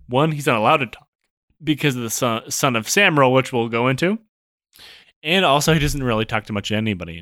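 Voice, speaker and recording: Speaking very fast with an American accent, a man at medium pitch has a bright, sharp tone, lively intonation and big swings in loudness, all in a very clean recording with a silent background. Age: 30s. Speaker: podcast co-host presenting history. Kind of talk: casual storytelling chat. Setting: recording room.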